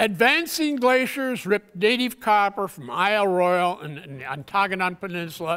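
Over a quiet background, a man talks at a moderate pace in a high pitch. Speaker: conference presenter. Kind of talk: lecture. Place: hall.

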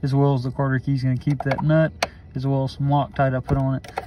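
The pace is very fast. Background noise is noticeable. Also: dry sound with no echo. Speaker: tractor owner doing a repair. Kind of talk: tutorial. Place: farm machine. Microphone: phone near.

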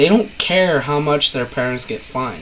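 There is noticeable background noise behind this man. His pitch is fairly high, and his intonation is lively. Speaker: parent. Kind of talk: casual talk to camera. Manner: blunt.

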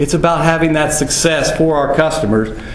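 A man talks with an American accent. The room echo is audible, and background noise is noticeable. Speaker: rancher. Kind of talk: conference talk.

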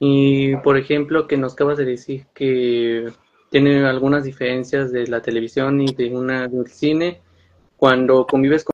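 A man's fairly slow speech in a monotone, flat intonation. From Mexico, San Luis Potosí. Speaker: interviewer. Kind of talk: interview. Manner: halting. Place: home room. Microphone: video call.

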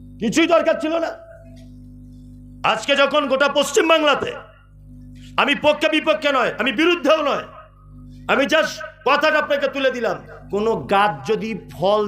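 Over music in the background, a man talks with lively intonation at an extremely high pitch. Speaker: Islamic preacher giving a waz lecture. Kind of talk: public religious sermon with humorous storytelling. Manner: conversational, emphatic, rhetorical questions to audience. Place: stage. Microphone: pa.

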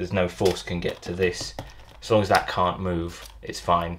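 A man with a British accent over noticeable background noise. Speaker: potter. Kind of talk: tutorial.

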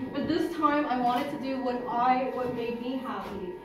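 Speaking at a moderate pace, a woman with a high voice keeps her intonation fairly even, while noticeable background noise and audible room echo come through. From Montreal, Canada. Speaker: interior designer. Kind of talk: launch event speech to a live audience. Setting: live event room. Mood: warm, heartfelt. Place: hall. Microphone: camera far.

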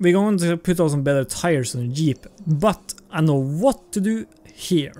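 A non-native accent at a fairly slow pace. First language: not English. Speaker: gaming YouTuber. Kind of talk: gameplay commentary. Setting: recorded voiceover while playing. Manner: halting, casual.

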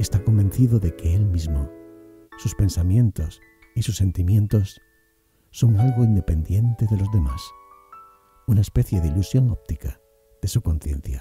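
Over music in the background, a man with a fairly low pitch talks at a moderate pace with lively intonation. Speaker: voice actor. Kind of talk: reflective narration.

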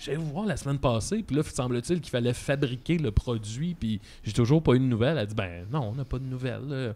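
A man's dark, mellow tone at a fairly quick pace, with lively intonation. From Quebec. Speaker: comedian podcast co-host. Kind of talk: casual chat. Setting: studio. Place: studio. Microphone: studio mic.

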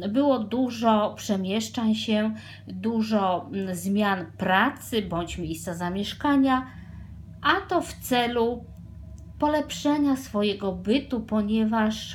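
A woman speaks at a very slow pace in a somewhat breathy voice, with light background noise. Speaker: tarot reader. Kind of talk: tarot reading to viewers. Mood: calm, intimate. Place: home room. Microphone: phone near.

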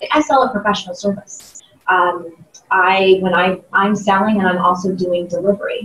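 With an American accent, a woman talks at a moderate pace and a medium pitch. Her pitch varies in an ordinary way, and the room echo is audible. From US Midwest, Ohio (Columbus). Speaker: sales trainer and keynote speaker; sales trainer, keynote speaker. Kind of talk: interview. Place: meeting room.

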